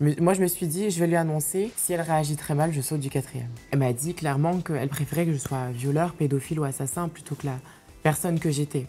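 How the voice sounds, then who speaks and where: A woman with a very deep, low voice speaks at a fairly quick pace over music in the background. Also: ordinary pitch variation. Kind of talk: interview answer.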